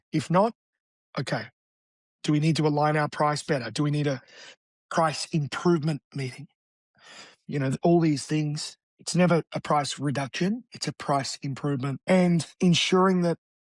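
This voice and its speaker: Speaking with an Australian accent, a man uses a fairly high pitch and ordinary pitch variation at a moderate pace, with long, frequent pauses. The sound is dry and close, without echo. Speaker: real estate agent. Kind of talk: interview. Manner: animated.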